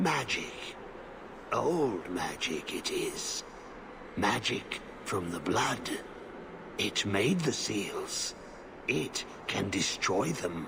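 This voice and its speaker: Loud background noise accompanies a man using a put-on character voice. His pace is very slow, with long, frequent pauses. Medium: video game. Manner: broken, repetitive phrasing, muttering.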